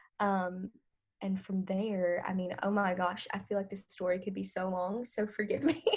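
A woman with a medium pitch and a somewhat breathy voice speaks at a moderate pace with fairly even intonation. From northern Louisiana, US. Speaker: artist manager and former actress. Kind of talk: interview.

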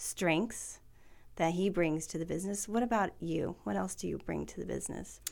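On a very clean recording with a silent background, a woman with an American accent speaks at a moderate pace and fairly low pitch, with vocal fry and fairly even intonation. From Tri-Cities, Washington. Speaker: podcast host, financial planner. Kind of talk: interview.

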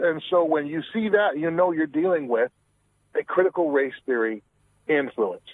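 With a normal speaking voice, a man of fairly high pitch talks at a moderate pace with ordinary pitch variation. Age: 40s. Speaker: author. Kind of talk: casual chat.

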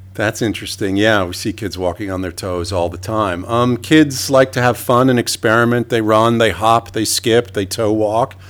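A man with a New York accent speaks in a fairly low pitch with ordinary pitch variation. His pace is moderate, with hardly any pauses. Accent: New York American. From New York City. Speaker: emergency physician. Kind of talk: interview.

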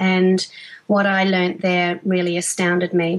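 A woman speaks with an Australian accent at a medium pitch. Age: 40s. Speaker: fitness trainer, former teacher. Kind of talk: interview.

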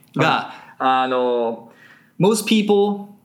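This man speaks at a medium pitch, his voice making very wide pitch swings. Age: 30s. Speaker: English conversation school founder. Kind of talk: interview. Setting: studio.

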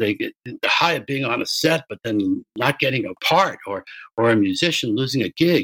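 On a very clean recording with a silent background, a man with an American accent speaks in a plain, everyday voice at a fairly high pitch, his intonation lively and the sound dry and close with no echo. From US. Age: 60s. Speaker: music producer and sports agent. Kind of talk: interview.

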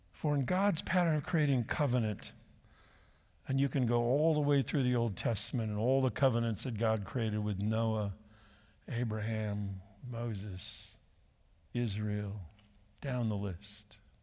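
A man with a West Coast accent speaks at a medium pitch in a dark, mellow tone, with ordinary pitch variation. His pace is fairly slow, with long, frequent pauses, in a very clean recording with a silent background. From southern California. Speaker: pastor. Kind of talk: sermon.

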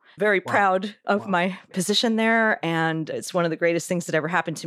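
A woman with an American accent uses an ordinary speaking voice at a fairly low pitch in a very clean recording with a silent background. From Philadelphia. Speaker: orchestra musician. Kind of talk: interview.

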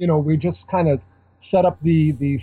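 A man talks fairly quickly in an unremarkable speaking voice. His pitch varies in an ordinary way. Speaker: magazine editor. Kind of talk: casual chat.

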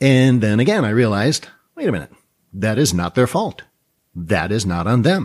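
A man speaks at a moderate pace with lively intonation in a plain, everyday voice. The recording is very clean, with a silent background. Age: 50s. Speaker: trading educator and podcast host. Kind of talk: solo podcast monologue. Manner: conversational with frequent fillers.

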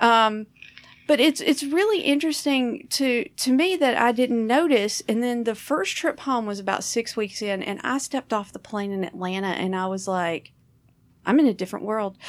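Her pitch is fairly high and her intonation lively. The woman talks at a moderate pace in a Southern US accent. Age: 40s. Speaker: comedian and podcast host. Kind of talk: casual chat.

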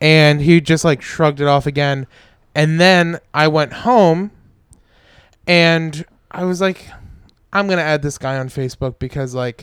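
Recorded very cleanly with a silent background and a dry, close sound with no echo, a man with a fairly high pitch and a plain, everyday voice talks at a moderate pace with ordinary pitch variation. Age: 20s. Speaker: stand-up comedian. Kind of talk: casual chat.

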